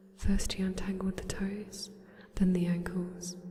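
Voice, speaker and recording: The voice is soft-spoken. There is noticeable background noise. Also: woman. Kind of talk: ASMR bedtime story reading. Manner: quiet, soft-spoken.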